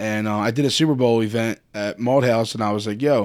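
Speaking in a Philadelphia accent, a man of medium pitch keeps his intonation fairly even on a very clean recording with a silent background. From Philadelphia, Kensington. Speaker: tailgate organizer. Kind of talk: casual chat. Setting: studio.

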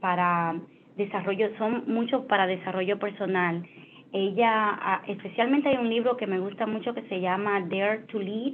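Woman's voice, fairly high in pitch, with ordinary pitch variation. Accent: strong Spanish. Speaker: finance executive. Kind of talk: interview. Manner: halting, many fillers.

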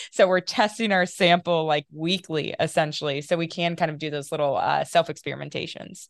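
A plain, everyday voice with an American accent moves at a fairly quick pace. It has hardly any pauses and fairly even intonation. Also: woman, fairly low pitch for a woman. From US Midwest, small-town Ohio north of Dayton. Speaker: epigenetics researcher and company founder. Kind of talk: interview.

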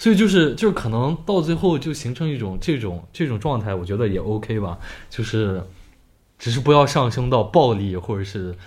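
Over audible room echo, a man at medium pitch speaks at a moderate pace with very wide pitch swings. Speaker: podcast co-host. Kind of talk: casual chat. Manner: loud.

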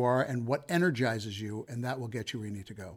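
Speaking at a fairly quick pace with an American accent, a man uses medium pitch and ordinary pitch variation on a very clean recording with a silent background. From Colorado, US (Denver). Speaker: comedian and entrepreneur. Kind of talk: interview. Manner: hesitant, many fillers.

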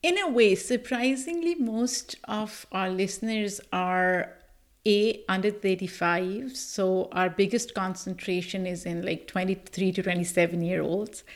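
Speaking with a Pakistani accent, a woman has a medium pitch and ordinary pitch variation. Her pace is fairly slow. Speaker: podcast host and producer. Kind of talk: interview.

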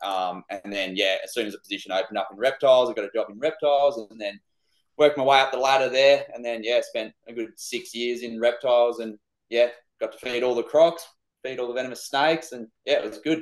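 Speaking at a very fast pace, a man shows big swings in loudness, medium pitch and ordinary pitch variation. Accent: Australian. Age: 20s. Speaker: reptile keeper, business owner. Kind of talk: casual chat.

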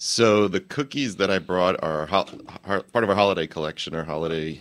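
With an American accent, a man talks at a fairly quick pace. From New Jersey. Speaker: bakery co-founder. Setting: studio.

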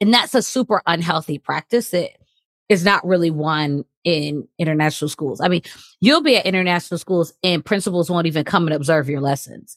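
A woman with a Michigan accent talks at a fairly quick pace. Her fairly low voice has an animated tone. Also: ordinary pitch variation, dry, close sound with no echo. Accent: Michigan American. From US Midwest, Detroit area. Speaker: assistant principal, educator. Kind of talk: podcast interview.

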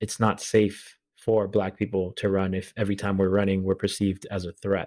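Speaking with an American accent, a man uses a fairly low pitch and a fairly quick pace. The recording is very clean and the background silent. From Boston, Massachusetts. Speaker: podcast host and running crew founder. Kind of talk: podcast intro and outro; interview testimony.

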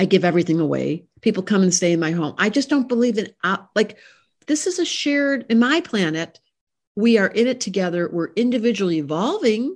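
A woman of medium pitch speaks at a fairly quick pace with very wide pitch swings. The background is quiet. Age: 70s. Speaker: astrologer and psychotherapist. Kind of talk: casual interview chat. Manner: animated.

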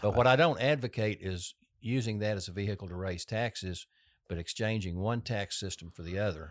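A fairly quick voice in a Texan accent, in a very clean recording with a silent background. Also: man, fairly low pitch for a man, ordinary pitch variation. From Texas. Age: 60s. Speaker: political candidate. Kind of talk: casual interview.

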